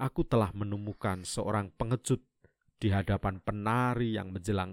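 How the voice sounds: Against a quiet background, the recording carries a natural reading voice.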